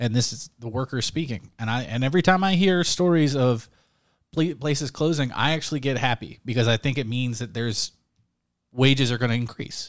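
On a very clean recording with a silent background, a man with an unremarkable speaking voice talks at a fairly quick pace, at a medium pitch with ordinary pitch variation. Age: 30s. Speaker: podcast co-host. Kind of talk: casual chat.

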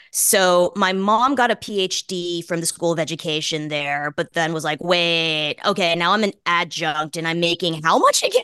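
Hardly pausing, a woman speaks at a moderate pace with ordinary pitch variation. The sound is dry and close with no echo, though background noise is noticeable. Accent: American. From US Northeast, Boston. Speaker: journalist and author. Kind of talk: casual interview chat.

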